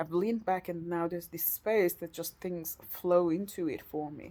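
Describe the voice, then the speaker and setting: With a non-native accent, the voice has a dark, mellow tone and moves at a moderate pace. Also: woman. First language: not English. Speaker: vlogger. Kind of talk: personal video diary. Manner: halting, searching for words.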